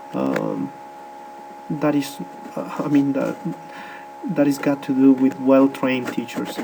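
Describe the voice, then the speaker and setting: A man speaks at a fairly slow pace. Background noise is noticeable. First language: Spanish. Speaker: English teacher. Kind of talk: presentation. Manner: halting, many fillers.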